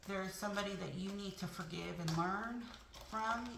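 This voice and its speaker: Noticeable background noise and audible room echo surround a woman's voice. She talks at a moderate pace with fairly even intonation. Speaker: tarot reader. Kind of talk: tarot reading.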